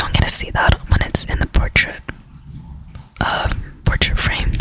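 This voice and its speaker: A woman whispers with noticeable background noise behind her. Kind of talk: ASMR talk to camera showing collectible cards. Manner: whispered.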